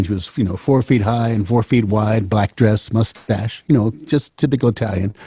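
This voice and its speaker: A man's dark, mellow, somewhat breathy voice at a fairly quick pace. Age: 70s. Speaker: singer-songwriter. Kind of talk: casual chat. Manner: halting, repeats words.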